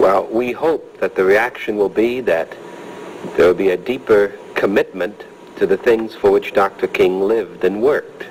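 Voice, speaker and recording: A man's voice at very even loudness over noticeable background noise. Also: moderate pace. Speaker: civil rights activist and minister. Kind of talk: archival news statement.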